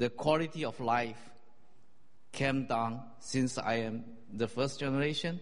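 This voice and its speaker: A man with a Chinese accent speaks at a medium pitch and fairly slow pace, with fairly even intonation and long, frequent pauses. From China. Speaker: church member. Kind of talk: testimony.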